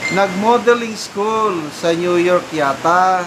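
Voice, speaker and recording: Noticeable background noise accompanies a voice moving at a very slow pace. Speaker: showbiz news commentator. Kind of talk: casual news commentary. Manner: loud.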